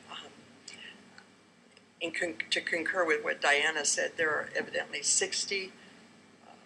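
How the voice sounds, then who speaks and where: The pace is moderate. Noticeable background noise sits behind the voice. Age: 70s. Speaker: public commenter at board meeting. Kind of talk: public comment testimony.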